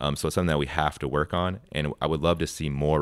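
A man with an American accent speaks at a very fast pace in a very deep, low voice with vocal fry and fairly even intonation, on a very clean recording with a silent background. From Wisconsin. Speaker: university sustainability manager. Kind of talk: radio interview. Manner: casual with frequent fillers.

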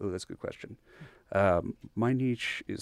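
At a moderate pace, a man with an American accent speaks with ordinary pitch variation in a very clean recording with a silent background and a dry, close sound with no echo. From Texas, Bryan. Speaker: oil painter and university lecturer. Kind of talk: interview. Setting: radio studio.

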